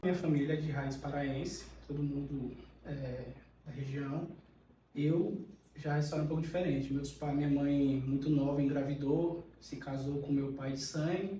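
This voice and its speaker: Monotone, flat intonation comes at a moderate pace, with audible room echo. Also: man, fairly high pitch for a man. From Pará, Brazil. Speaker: podcast guest. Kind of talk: casual interview.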